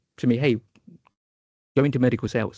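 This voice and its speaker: Talking at a very fast pace, a man with a southern English accent shows ordinary pitch variation. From England, Luton. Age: 40s. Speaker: startup founder and product manager. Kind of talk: podcast interview. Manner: halting, many fillers and repeats.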